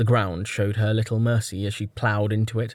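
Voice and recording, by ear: The text is read aloud in a natural voice.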